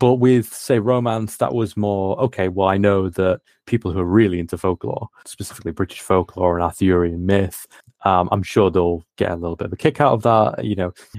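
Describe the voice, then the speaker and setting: With a very deep, low pitch and ordinary pitch variation, a man talks at a moderate pace in a dry, close sound with no echo. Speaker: game designer. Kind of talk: casual chat.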